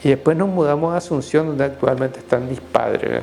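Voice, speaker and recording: A man speaks with a Paraguayan accent at a fairly high pitch. His pitch varies in an ordinary way, with music in the background. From Paraguay (Caazapá). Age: 60s. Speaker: Jesuit priest. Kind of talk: interview testimony. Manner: halting, many fillers.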